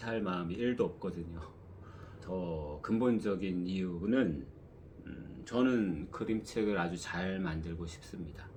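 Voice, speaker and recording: There is audible room echo around this man's very deep, low voice. He speaks at a very slow pace with ordinary pitch variation. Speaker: one-person picture book publisher. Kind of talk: casual vlog talk.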